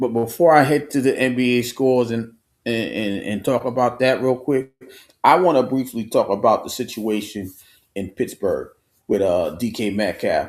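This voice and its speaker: At a moderate pace, a man with a New York accent speaks at medium pitch with ordinary pitch variation. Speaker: sports talk show host. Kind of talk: solo live stream sports commentary. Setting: home studio live stream. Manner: halting with many repetitions.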